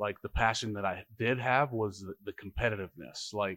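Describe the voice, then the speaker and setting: An ordinary speaking voice from a man with an American accent, fairly low in pitch, at a fairly quick pace with fairly even intonation, on a very clean recording with a silent background and a dry, close sound with no echo. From Harlem, New York, then Nebraska from 13. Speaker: former college football offensive lineman. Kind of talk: casual podcast interview. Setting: brewery taproom.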